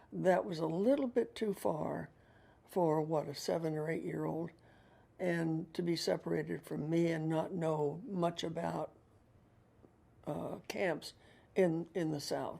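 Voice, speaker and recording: A woman's very deep, low voice with vocal fry, a dark, mellow tone and an American accent, at a fairly slow pace with long, frequent pauses. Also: ordinary pitch variation. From Pittsburgh, Pennsylvania. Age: 80s. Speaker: community volunteer. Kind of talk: interview. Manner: hesitant with fillers.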